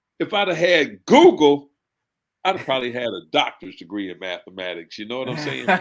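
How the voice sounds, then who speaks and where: Talking at a fairly quick pace, a man with a fairly high pitch and vocal fry makes very wide pitch swings and big swings in loudness. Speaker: military veteran guest. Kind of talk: casual chat. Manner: talkative.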